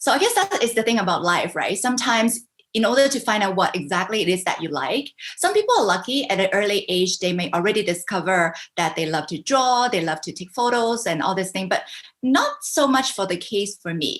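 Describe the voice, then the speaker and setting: Lively intonation marks this woman's medium-pitched voice. She talks at a fairly quick pace. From Canada, Vancouver. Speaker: business coach. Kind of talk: interview. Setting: video call.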